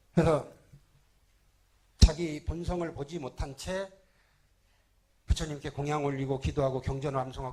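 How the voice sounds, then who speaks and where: This man's voice sits fairly high in pitch. It sounds somewhat breathy. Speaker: Buddhist monk. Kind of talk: sermon. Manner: fast.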